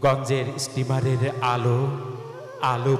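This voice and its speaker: Music in the background beneath a male speaker of medium pitch. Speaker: poetry reciter. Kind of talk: poetry reading. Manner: emotional, expressive.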